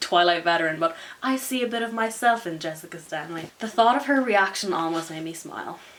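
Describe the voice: What is heard here is plain reading aloud.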